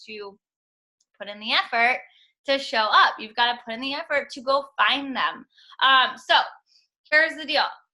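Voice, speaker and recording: Projecting her voice, a woman speaks high and bright with a sharp edge, animated in tone and moderate in pace. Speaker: network marketing coach. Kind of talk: team call coaching talk.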